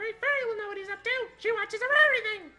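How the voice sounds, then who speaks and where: A squeaky put-on character voice at an extremely high pitch, with faint music in the background. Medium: game stream. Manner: nervous, fast.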